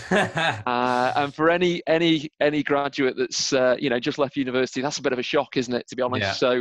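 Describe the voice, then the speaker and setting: A man at a fairly quick pace with fairly even intonation, over a quiet background. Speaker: podcast guest. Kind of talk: interview answer. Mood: cheerful, laughing at times. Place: home room. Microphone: video call.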